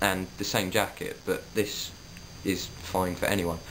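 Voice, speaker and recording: In a Suffolk accent, a man speaks at a fairly slow pace, with audible room echo. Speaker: vlogger. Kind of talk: casual vlog monologue.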